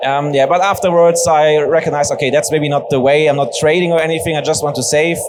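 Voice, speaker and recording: A man speaks at a fairly quick pace with a high pitch. Noticeable background noise and audible room echo fill the recording. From western Germany, near Bochum. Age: 20s. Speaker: Bitcoin educator and ambassador. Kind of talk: onstage fireside chat. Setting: stage with audience. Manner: casual.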